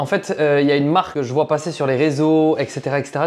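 A man speaking at a fairly quick pace. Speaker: home renovation vlogger. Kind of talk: casual vlog chat. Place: home room. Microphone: lapel.

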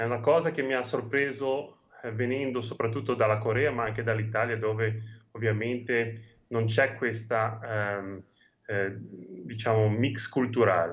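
The delivery is fairly slow with fairly even intonation. It is an unremarkable speaking voice. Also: man, medium pitch for a man. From Genoa, Liguria. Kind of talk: interview answer. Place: home room. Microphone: video call.

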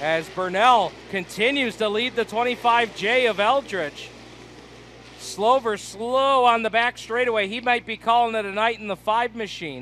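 The voice is raised and projected, moving at a fairly slow pace. The sound is dry with no echo, over light background noise. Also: man, high pitch for a man, ordinary pitch variation. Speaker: race announcer. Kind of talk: live race commentary. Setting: racetrack, announcer booth. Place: stadium.

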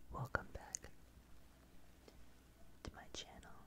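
Loud background noise fills a dry recording with no echo. The speech comes at a very slow pace. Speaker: ASMR artist. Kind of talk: ASMR fact reading. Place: home room. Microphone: studio mic.

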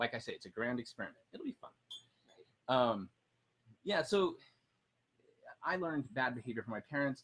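Lively intonation and big swings in loudness mark this man's speech. He keeps a moderate pace, broken by long, frequent pauses. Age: 40s. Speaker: personal finance blogger. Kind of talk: casual chat. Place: garden. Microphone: camera far.

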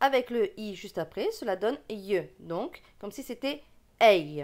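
A woman speaks in a bright, sharp tone at a very slow pace. Her pitch swings very widely. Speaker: reading teacher. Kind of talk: tutorial.

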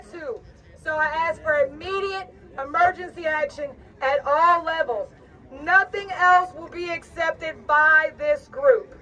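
A woman's raised, projected voice at an extremely high pitch, with lively intonation, a fairly slow pace and big swings in loudness. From Louisiana, US Gulf Coast. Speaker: shrimping community activist. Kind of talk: impassioned protest rally speech from a prepared text. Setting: outdoors on capitol steps before a crowd. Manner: fiery, defiant and urgent, building to rhetorical questions; folksy, plainspoken delivery. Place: street. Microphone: camera far.

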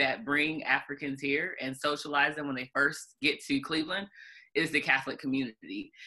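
Against a quiet background, a woman with a very deep, low voice and a bright, sharp tone speaks at a moderate pace with ordinary pitch variation. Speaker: civil rights organization president. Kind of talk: panel discussion. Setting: video call. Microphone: video call.

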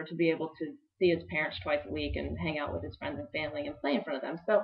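A woman speaks at a very fast pace with a fairly low pitch. The background is quiet. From Texas (Dallas); Texas. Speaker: sports show co-host. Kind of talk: casual sports talk. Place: office. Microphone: webcam.

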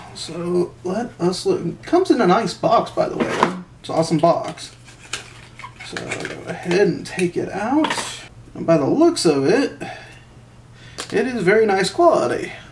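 There is noticeable background noise behind a man's high-pitched voice. He speaks with long, frequent pauses. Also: fairly slow pace. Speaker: product reviewer. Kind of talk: casual unboxing review. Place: home room.

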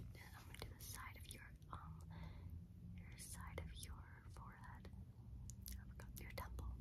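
A woman speaks at a fairly slow pace. Loud background noise runs behind her. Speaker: ASMR creator. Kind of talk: ASMR personal attention role play. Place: home room. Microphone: phone near.

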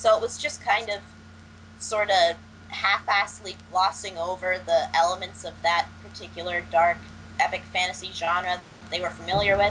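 A woman speaks at a moderate pace in a fairly low, fairly bright voice with fairly even intonation.

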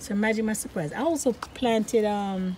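A woman is talking. Noticeable background noise runs underneath. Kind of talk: casual vlog chat. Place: garden. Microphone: phone near.

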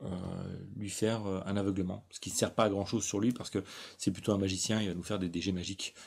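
Recorded very cleanly against a silent background, a man with an ordinary speaking voice talks fairly quickly in a fairly low pitch. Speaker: gaming YouTuber. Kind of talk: tutorial.

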